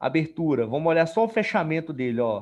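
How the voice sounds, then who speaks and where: With ordinary pitch variation, a man talks at a moderate pace against a quiet background. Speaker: trading instructor. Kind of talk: live tutorial. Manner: casual, colloquial.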